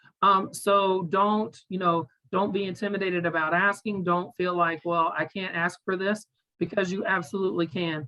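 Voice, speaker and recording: A woman speaks at a moderate pace with a medium pitch. Her intonation is fairly even, in a normal speaking voice. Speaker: parent advocacy coordinator, former educator. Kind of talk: webinar presentation.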